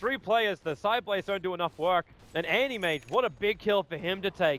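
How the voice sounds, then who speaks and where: A man talks in an animated tone with an Australian accent. His pace is fairly quick. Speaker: esports commentator. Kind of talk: live commentary. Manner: fast, animated.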